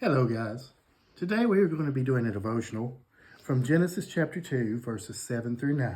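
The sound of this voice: Reading done in an unforced voice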